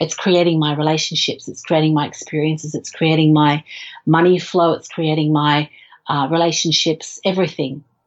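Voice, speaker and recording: Speaking at a moderate pace with an Australian accent, a woman uses a very deep, low pitch and a monotone, flat intonation. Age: 40s. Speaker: film director. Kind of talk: interview. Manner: halting, many fillers.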